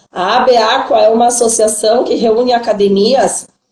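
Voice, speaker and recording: Audible room echo surrounds a woman speaking at a fairly high pitch with fairly even intonation. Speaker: swimming teacher and live-stream interviewer. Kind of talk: live-stream hosting. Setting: online live stream.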